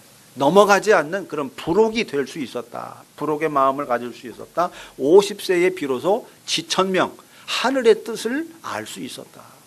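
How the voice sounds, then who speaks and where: At a fairly slow pace, a man with a high pitch makes very wide pitch swings and big swings in loudness. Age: 60s. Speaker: pastor. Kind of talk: sermon.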